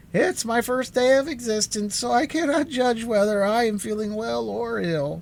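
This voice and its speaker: Using a squeaky, put-on character voice with a high pitch, a man talks at a moderate pace with lively intonation and hardly any pauses. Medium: read story. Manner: melancholy, self-pitying.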